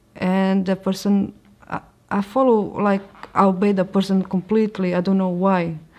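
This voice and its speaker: This woman talks at a moderate pace with a Portuguese accent. Her pitch sits in the medium range, and her intonation stays monotone and flat. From Portugal. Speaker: convert sharing her story. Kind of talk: testimony. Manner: halting.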